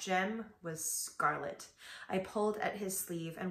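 A natural reading voice is heard here. The speaker reads throughout.

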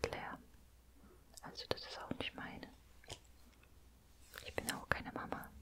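Fairly slow whispering from a woman. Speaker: ASMR creator. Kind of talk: soft-spoken ASMR roleplay. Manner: soft, hushed ASMR speech. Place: home room. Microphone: studio mic.

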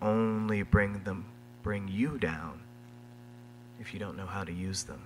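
A man's fairly low voice over light background noise. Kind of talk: introduction speech with poetic reading. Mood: warm, playful, admiring. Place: stage. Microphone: podium.

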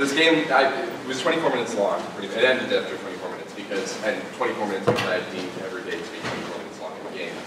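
Over loud background noise and audible room echo, a man talks at a very fast pace. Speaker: speaker. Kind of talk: public talk. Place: stage.

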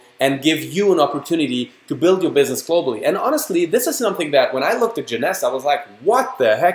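An animated man with a German accent, high-pitched, with very wide pitch swings. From Germany. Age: 30s. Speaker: network marketing distributor. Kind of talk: sales pitch. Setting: online webinar.

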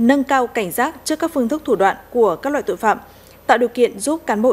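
A woman's high-pitched voice, fairly quick, with lively intonation. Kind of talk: news reading. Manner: formal.

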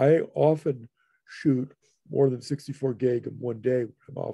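A man's somewhat breathy voice with a dark, mellow tone and fairly even intonation, dry with no echo over a quiet background. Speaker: photography speaker; speaker. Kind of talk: lecture Q&A. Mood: warm, thankful wrap-up. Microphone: video call.

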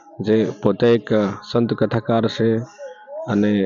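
A man is speaking. His pitch is medium. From Gujarat, India. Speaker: video blogger. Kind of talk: vlog tour narration. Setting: outdoors at village temple at night. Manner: halting.

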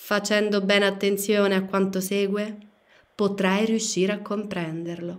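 Her tone solemn and intense, a woman speaks at a medium pitch and a fairly slow pace with monotone, flat intonation. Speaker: audiobook narrator. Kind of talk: audiobook reading, dramatic narration. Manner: solemn, slow, declamatory, intense.

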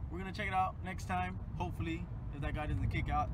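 Amid loud background noise, a man talks at a very fast pace in a dry recording with no echo. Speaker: vlogger. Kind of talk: casual vlog chat. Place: car. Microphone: phone near.

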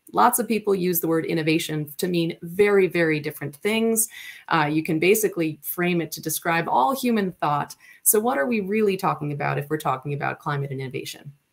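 An unremarkable speaking voice from a woman, fairly low in pitch, with lively intonation, a fairly quick pace and a quiet background. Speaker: presenter. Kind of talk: lecture. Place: home room. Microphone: webcam.

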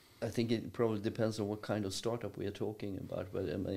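This is a man's voice with a dark, mellow tone. His intonation is fairly even. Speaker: university professor, podcast guest. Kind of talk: interview answer. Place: meeting room. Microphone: studio mic.

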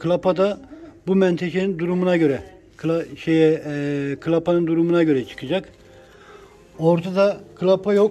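This voice has a dark, mellow tone and fairly even intonation, moving at a fairly slow pace. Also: man.

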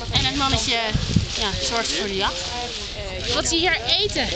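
A woman talks at an even, moderate speed, the sound dry and echo-free beneath loud background noise. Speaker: tour guide. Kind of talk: guided explanation. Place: waterside.

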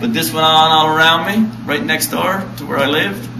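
Noticeable background noise runs through the clip. A man speaks with ordinary pitch variation. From Red Bay, Labrador, Canada. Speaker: historic site interpreter. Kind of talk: casual interview answer. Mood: friendly, relaxed. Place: hall. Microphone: camera far.

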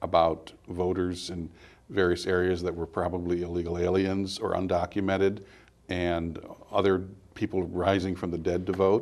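A man speaks at a moderate pace in a very deep, low voice with an American accent. His intonation stays flat and monotone. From California. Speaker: political columnist and commentator; commentator. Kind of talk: interview. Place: studio.

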